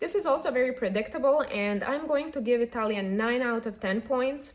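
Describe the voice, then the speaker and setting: Speaking at a fairly quick pace, a woman with a Serbian accent has a high pitch and lively intonation. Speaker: polyglot YouTuber. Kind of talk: casual vlog monologue.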